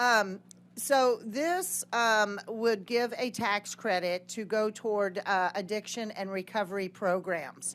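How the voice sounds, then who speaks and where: A woman's unremarkable speaking voice, medium in pitch with ordinary pitch variation, over a quiet background. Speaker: state legislator. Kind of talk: committee hearing testimony.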